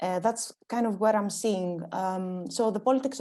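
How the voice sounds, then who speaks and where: A woman speaks at a moderate pace and medium pitch with ordinary pitch variation and a dark, mellow tone. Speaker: panel speaker, architecture researcher. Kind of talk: conference panel talk. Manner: halting, many fillers.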